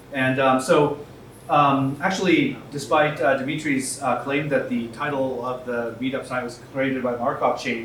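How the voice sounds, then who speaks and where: Noticeable background noise and audible room echo surround the recording. A man talks with fairly even intonation. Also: medium pitch for a man, moderate pace. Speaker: tech company co-founder and CTO. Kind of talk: panel talk at a meetup. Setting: stage with audience at a meetup. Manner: loud.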